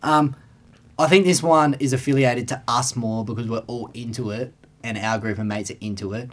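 A man with an Australian accent talks at a fairly quick pace, his medium pitch showing ordinary variation. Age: 20s. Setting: studio. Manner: laid-back, jokey.

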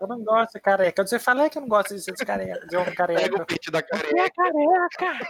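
At a very fast pace, the speaker talks with hardly any pauses in an animated tone. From Brazil. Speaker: podcast co-host, streamer, law graduate. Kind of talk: casual chat.

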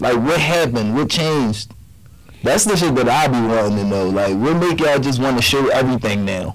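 Against noticeable background noise and audible room echo, a man at a medium pitch talks at a fairly quick pace with lively intonation and very even loudness. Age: 30s. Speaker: podcast co-host. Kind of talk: casual chat.

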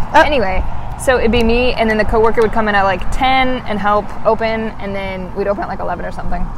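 A woman rushes along at a very fast pace in a fairly high pitch, with noticeable background noise behind her. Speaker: podcast co-host. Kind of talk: casual chat. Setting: outdoors. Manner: articulate.

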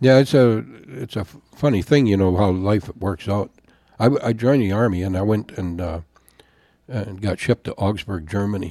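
In a dark, mellow tone, a man with an American accent speaks at a fairly low pitch. His pace is moderate and his pitch variation ordinary. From Wisconsin, US. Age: 70s. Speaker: pastor and podcast host.

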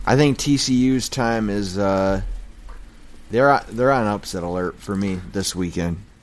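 A man with an American accent speaks at a very slow pace and fairly low pitch. His pitch varies in an ordinary way, and the room echo is audible. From Michigan. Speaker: sports podcast host. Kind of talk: casual chat. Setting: garage.

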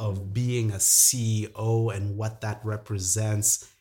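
In a very clean recording with a silent background, a man with a medium pitch speaks at a very slow pace in a somewhat breathy voice. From Zambia. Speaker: entrepreneur. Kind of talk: casual chat.

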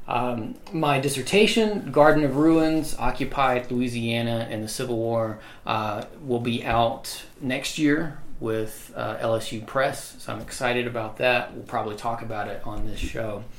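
A man talks fairly slowly with hardly any pauses, at a medium pitch with ordinary variation. Noticeable background noise is present. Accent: Southern US. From US South, Mississippi. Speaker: history professor. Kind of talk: casual chat. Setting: home office.

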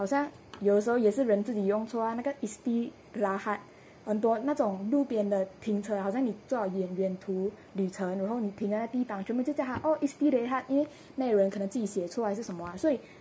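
The voice has a dark, mellow tone and is somewhat breathy. It moves at a fairly quick pace with ordinary pitch variation. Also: woman, fairly high pitch for a woman. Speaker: podcast panel regular. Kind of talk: casual panel discussion.

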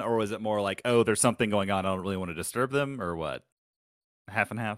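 On a very clean recording with a silent background, a man talks at medium pitch. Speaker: podcast host. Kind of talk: casual chat.

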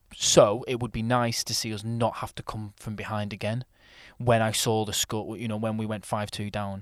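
A man with a Lancashire accent, fairly low in pitch, monotone and flat, at a moderate pace. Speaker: podcast host. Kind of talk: casual banter podcast chat. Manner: jokey, laughs easily.

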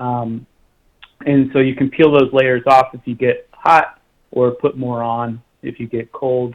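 A man with an American accent and a normal speaking voice talks at a fairly slow pace and medium pitch, with fairly even intonation and big swings in loudness. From Oklahoma. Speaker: outdoor conservation club staff. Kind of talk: radio interview.

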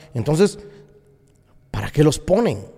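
A man's fairly high-pitched voice amid noticeable background noise. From Guatemala. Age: 40s. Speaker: pastor. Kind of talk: opinion monologue podcast.

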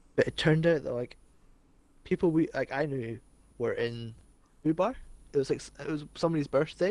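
In a Scottish accent, a man speaks at a fairly quick pace with a fairly high pitch, ordinary pitch variation, big swings in loudness, and long, frequent pauses. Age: 20s. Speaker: podcast co-host. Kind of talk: casual chat.

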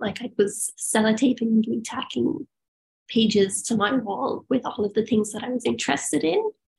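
The voice has an Irish accent. It sounds somewhat breathy. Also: woman. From rural Ireland. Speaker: biomedical engineer and yoga teacher. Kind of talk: casual chat. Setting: video call.

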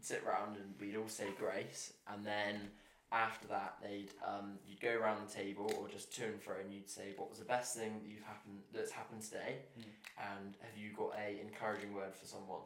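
With an English accent, a man speaks at a moderate pace in a fairly low, flat monotone, his loudness swinging widely. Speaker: visiting house guest.

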